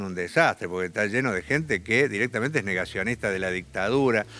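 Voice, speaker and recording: Lively intonation runs through a man's fairly quick speech. His voice is fairly low in pitch, with a bright, sharp tone. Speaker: left-wing politician. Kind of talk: interview.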